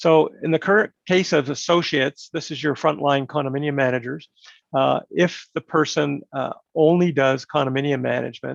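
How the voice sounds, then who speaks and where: A man's fairly high-pitched voice with a Canadian accent and fairly even intonation. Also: dry, close sound with no echo. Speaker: regulator representative presenting licensing program. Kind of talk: online info session presentation. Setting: online webinar. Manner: fast.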